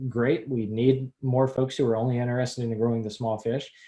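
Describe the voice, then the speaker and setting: Somewhat breathy, a man of medium pitch with a dark, mellow tone speaks at a moderate pace. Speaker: extension educator. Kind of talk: webinar presentation.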